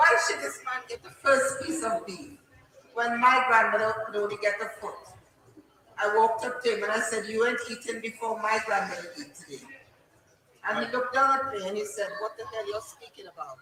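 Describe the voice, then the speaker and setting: Noticeable background noise sits behind a woman who speaks at a fairly quick pace with a fairly high pitch. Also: ordinary pitch variation. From Trinidad and Tobago. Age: 60s. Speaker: elder community speaker, former nurse. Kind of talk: impassioned public speech. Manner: animated. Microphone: faulty microphone cutting out.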